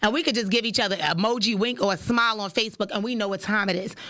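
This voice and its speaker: A woman talks loudly at a very fast pace, her voice fairly high-pitched with a bright, sharp tone. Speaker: podcast host. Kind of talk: casual monologue. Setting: studio.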